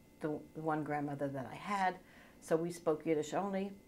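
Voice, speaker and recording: At a moderate pace, a woman talks with pitch that varies in an ordinary way. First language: Yiddish. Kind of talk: interview answer.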